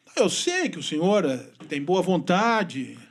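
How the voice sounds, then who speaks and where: A man's voice swings very widely in pitch. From Brazil, Rio Grande do Sul (western border). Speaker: journalist. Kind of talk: podcast interview. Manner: fast.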